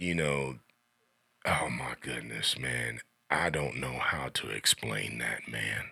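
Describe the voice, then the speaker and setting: With an American accent and a very deep, low pitch, a man speaks at a very slow pace with long, frequent pauses, vocal fry, a bright, sharp tone and ordinary pitch variation. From Xenia, Ohio, US Midwest. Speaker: drummer. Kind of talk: casual interview.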